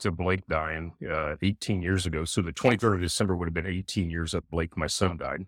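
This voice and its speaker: The recording is very clean, with a silent background and a dry, close sound with no echo. A man talks fairly quickly in a very deep, low voice. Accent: American. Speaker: bereaved pet owner and father. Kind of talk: casual chat.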